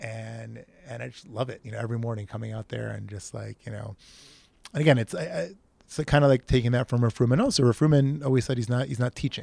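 A man speaks very fast at a medium pitch, his loudness swinging widely and his pitch varying in an ordinary way. His tone is dark and mellow, somewhat breathy, with a dry, close sound and no echo. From Israel. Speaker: community member, local study group organizer. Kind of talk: casual interview. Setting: outdoors. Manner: animated.

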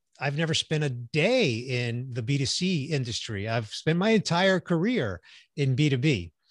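Against a quiet background, a man with a fairly high, somewhat breathy voice talks at a moderate pace with lively intonation, the sound dry and close with no echo. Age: 60s. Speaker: business executive and voice actor. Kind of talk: casual interview.

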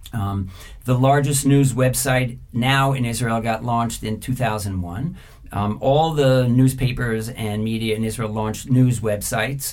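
Here is a man with an unremarkable speaking voice at medium pitch, in an American accent. He talks at a fairly slow pace. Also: fairly even intonation. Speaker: media executive and former journalist. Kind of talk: interview.

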